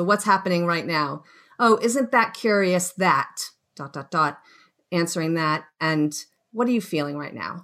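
A woman with a Boston accent, fairly low pitch and ordinary pitch variation, on a very clean recording with a silent background. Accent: Boston American. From US, Boston. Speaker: wellness coach. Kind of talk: radio interview.

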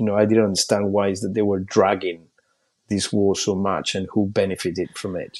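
A man with a Spanish accent talks at a fairly quick pace. His voice is fairly low and monotone, with flat intonation. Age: 40s. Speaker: journalist and documentary maker. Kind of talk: interview. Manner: halting.

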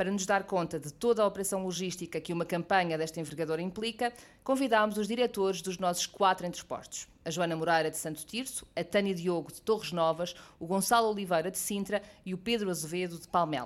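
At a very fast pace, a woman with a medium pitch speaks with ordinary pitch variation and big swings in loudness. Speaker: podcast presenter. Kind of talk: scripted narration.

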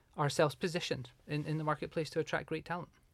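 A man speaks with a Scottish accent. His intonation is fairly even. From southwest Scotland, small rural town. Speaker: hotel HR director. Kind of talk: interview.

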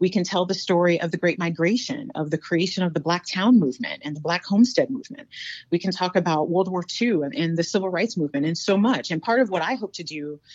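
A woman with an American accent, a fairly low pitch and lively intonation, talking at a very fast pace with hardly any pauses. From US South, North Carolina. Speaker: university diversity director and history lecturer. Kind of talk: interview.

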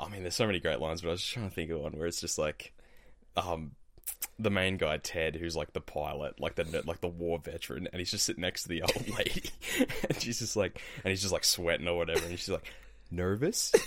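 A man with a very deep, low pitch speaks at a very fast pace with ordinary pitch variation. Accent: Australian. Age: 20s. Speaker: recent university graduate. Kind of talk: casual chat.

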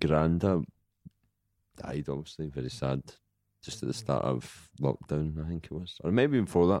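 A man speaks at a fairly slow pace with a Glaswegian accent, his pitch very deep and low. His tone is dark and mellow, with ordinary pitch variation. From Scotland, Glasgow. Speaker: comedian. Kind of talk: casual chat.

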